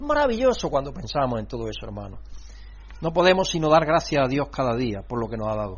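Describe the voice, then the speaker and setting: Audible room echo follows a man as he speaks at a fairly quick pace. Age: 60s. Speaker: pastor. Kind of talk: sermon. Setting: church congregation.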